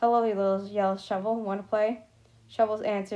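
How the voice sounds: Here is a reading voice that sounds natural.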